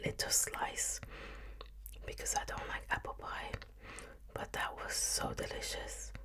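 The voice belongs to a woman who whispers. Her pace is fairly slow. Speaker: ASMR eating host. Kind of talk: ASMR eating video. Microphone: studio mic.

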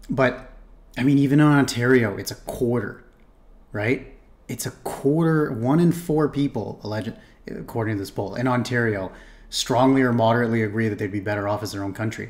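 A medium-pitched man with a Canadian accent speaks at a fairly quick pace with ordinary pitch variation. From Toronto, Canada. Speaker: streamer reacting to a video. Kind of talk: reaction commentary. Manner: halting, with fillers and repetitions; casual. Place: home room.

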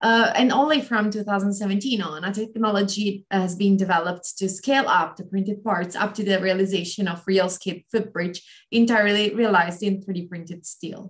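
Hardly any pauses break up this woman's speech. Her voice is somewhat breathy. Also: fairly even intonation, moderate pace, quiet background. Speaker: postdoc researcher; webinar presenter. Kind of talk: webinar talk. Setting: video call. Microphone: video call.

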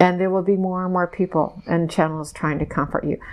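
A woman talks in a fairly low pitch with monotone, flat intonation. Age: 60s. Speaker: hypnosis subject channeling messages. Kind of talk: trance channeling session. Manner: slow. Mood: trance-like, slow, emotional. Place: home room. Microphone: lapel.

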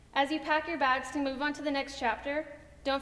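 The woman's voice sits high in pitch and keeps a moderate pace. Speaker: speaker. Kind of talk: graduation speech. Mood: warm, heartfelt. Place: stage.

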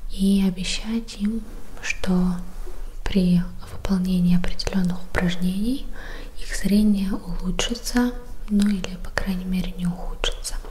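A soft-spoken woman talks at a fairly slow pace with long, frequent pauses. Light background noise can be heard. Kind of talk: educational talk. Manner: soft, quiet ASMR voice close to mic. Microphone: studio mic.

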